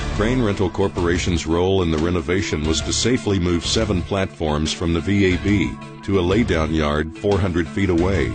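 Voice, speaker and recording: A man speaks at a moderate pace in a very deep, low voice, his loudness very even and his pitch varying in an ordinary way, with music playing behind him. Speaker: voice actor. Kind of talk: corporate narration.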